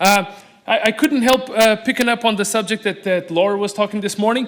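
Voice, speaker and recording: This is a man's voice. He speaks with a Portuguese accent. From Portugal. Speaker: aquarium animal supplier. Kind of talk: conference talk. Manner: fast.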